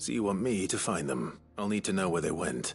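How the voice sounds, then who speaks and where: Over clear background noise, a man does a raspy put-on character voice with a very deep, low pitch, very wide pitch swings, and a fairly quick pace. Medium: video game. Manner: terse.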